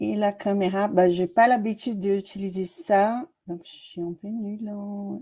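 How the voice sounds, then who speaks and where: Speaking at a fairly slow pace with fairly even intonation, a woman with a Brazilian accent has a dark, mellow, somewhat breathy tone and big swings in loudness. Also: medium pitch for a woman. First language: Portuguese (speaking French). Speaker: doctoral student. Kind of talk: self-introduction in seminar. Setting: video call.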